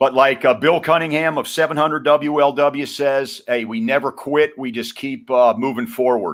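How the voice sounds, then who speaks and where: A man with an ordinary speaking voice and fairly high pitch speaks at a moderate pace with ordinary pitch variation. He barely pauses, and the recording is very clean with a silent background. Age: 60s. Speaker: retired sports writer and radio commentator. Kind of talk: podcast interview.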